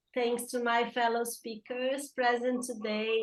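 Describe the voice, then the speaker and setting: A woman with a Brazilian accent speaks at a fairly slow pace in a fairly high pitch. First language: Portuguese. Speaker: environmental justice activist. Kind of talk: panel talk.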